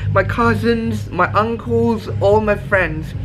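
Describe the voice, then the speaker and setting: A man at a very slow pace over background music. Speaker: travel vlogger. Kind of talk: casual vlog chat. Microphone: phone near.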